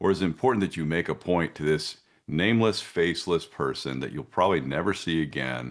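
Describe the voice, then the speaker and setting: A man's very deep, low voice with vocal fry, lively intonation and a fairly quick pace. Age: 50s. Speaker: concealed carry instructor. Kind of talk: interview answer. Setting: video call.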